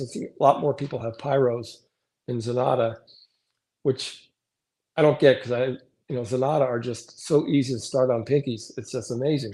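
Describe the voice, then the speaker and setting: A man's somewhat breathy, dark, mellow voice at medium pitch, fairly even in intonation and fairly quick in pace, on a very clean recording with a silent background. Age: 60s. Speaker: reptile breeder. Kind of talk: casual chat.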